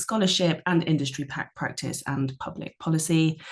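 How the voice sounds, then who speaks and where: Fairly even intonation at a moderate pace, in a British accent. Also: woman. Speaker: media researcher. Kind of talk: panel discussion.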